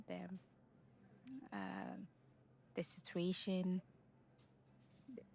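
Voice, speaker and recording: A woman with a non-native accent speaks at a fairly low pitch on a very clean recording with a silent background. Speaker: Salesforce admin and online course creator. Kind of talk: casual vlog talk to camera. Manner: halting, many fillers.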